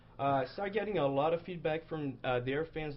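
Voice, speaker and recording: A man speaks with a Brazilian accent. His pace is moderate and his pitch varies an ordinary amount. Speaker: comic artist. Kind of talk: casual chat.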